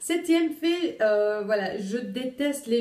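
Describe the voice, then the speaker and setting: There is noticeable background noise as a woman talks with lively intonation. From Luxembourg, Italian family. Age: 20s. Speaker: vlogger, young mother. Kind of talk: casual vlog. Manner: hesitant, many fillers.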